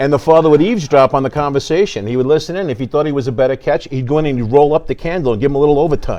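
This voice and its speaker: In a New York accent, a man rattles along at a very fast pace with hardly any pauses. His pitch is fairly high, with ordinary variation. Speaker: theater show staff and tour guide. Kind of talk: casual interview. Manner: animated.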